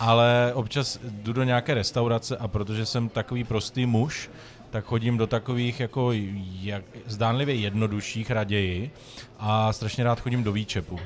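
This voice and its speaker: In a plain, everyday voice, a man talks at a moderate pace with a medium pitch and fairly even intonation. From Czech Republic, Moravia. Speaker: cooking show winner, graphic designer. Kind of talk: casual chat.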